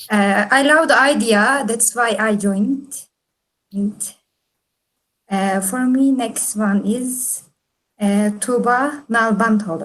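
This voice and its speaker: Long, frequent pauses and a very slow pace from a woman. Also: fairly high pitch for a woman, ordinary pitch variation. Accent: Turkish. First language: Turkish. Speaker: engineering student. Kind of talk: self-introduction at online meetup. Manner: halting.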